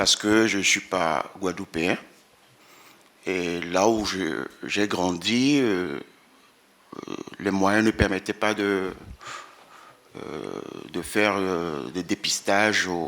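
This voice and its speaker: A man speaks at a very slow pace with long, frequent pauses, his pitch very deep and low, with ordinary pitch variation. His tone is bright and sharp, with vocal fry. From Benin. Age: 60s. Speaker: employee with sickle cell disease giving testimony. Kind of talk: testimony at a round table.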